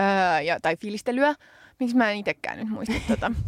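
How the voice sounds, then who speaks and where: A woman with an unremarkable speaking voice talks at a moderate pace with fairly high pitch and lively intonation. The recording is very clean and dry, close with no echo, against a silent background. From Finland. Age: 30s. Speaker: podcast co-host and politician. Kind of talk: casual chat. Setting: studio.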